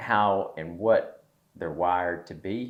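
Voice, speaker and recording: A man with a Southern US accent speaks at a very slow pace. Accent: Southern, noticeable. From US South, East Tennessee. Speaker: podcast host, entrepreneur. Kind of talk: casual chat.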